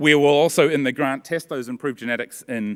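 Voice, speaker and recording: The man's speech moves at a fairly quick pace. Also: quiet background. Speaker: university researcher; conference presenter. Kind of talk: conference talk. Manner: fast. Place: hall. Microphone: podium.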